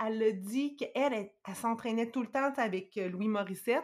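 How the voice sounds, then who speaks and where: It is an ordinary speaking voice with ordinary pitch variation. The recording is very clean, with a silent background. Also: woman. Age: 40s. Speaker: guest sharing personal experience with dieting. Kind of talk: testimony.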